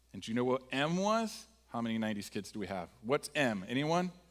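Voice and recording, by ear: At a fairly quick pace, a man speaks at a medium pitch with big pitch swings.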